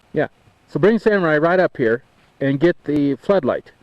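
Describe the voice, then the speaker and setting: Lively intonation at a fairly quick pace, in a dry, close sound with no echo and noticeable background noise. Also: man. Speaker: amateur videographer on 4x4 camping trip. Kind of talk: home video narration. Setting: outdoors in mountains. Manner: playful mock-dramatic narration.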